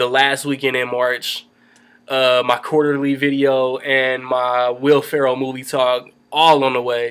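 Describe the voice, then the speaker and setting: A man with an American accent, medium pitch, monotone, flat intonation and a fairly slow pace. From Indianapolis, Indiana. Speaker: movie reviewer. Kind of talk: casual vlog review. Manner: rambling, casual.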